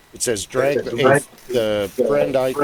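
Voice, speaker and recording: Noticeable background noise sits behind this recording. A man speaks at a medium pitch. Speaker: tabletop game player. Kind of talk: casual chat. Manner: loud. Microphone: echo picked up by another mic.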